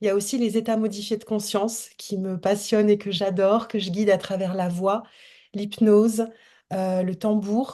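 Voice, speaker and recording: A woman speaks in a dark, mellow tone with monotone, flat intonation against a quiet background. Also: medium pitch for a woman, moderate pace. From France. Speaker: holistic coach. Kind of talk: casual chat. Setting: video call.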